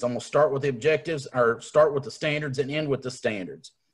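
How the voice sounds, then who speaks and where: A fairly quick, somewhat breathy man with an Appalachian accent and a fairly high pitch. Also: quiet background. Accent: Appalachian Southern US. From Appalachian Kentucky. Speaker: leadership coach and workshop trainer; leadership coach, workshop trainer. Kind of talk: online professional development workshop. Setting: video call. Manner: casual, self-deprecating. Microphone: video call.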